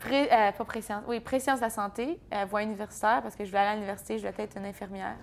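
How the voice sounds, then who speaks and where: A woman with an Ontario accent speaks at a very fast pace with hardly any pauses, her fairly high pitch showing ordinary variation while her loudness swings widely. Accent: Franco-Ontarian. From Franco-Ontario, Bourget area (eastern Ontario). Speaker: country singer. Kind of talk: interview. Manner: casual, hesitant with fillers.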